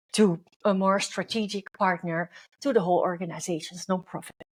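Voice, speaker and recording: A woman is speaking. Her pace is fairly slow. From Netherlands. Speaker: leadership coach and podcast host. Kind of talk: podcast monologue.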